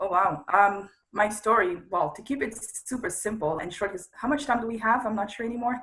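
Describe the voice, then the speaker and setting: A woman's fairly high voice with a French accent, ordinary pitch variation, and big swings in loudness. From Congo, Central Africa. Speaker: media entrepreneur. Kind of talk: interview.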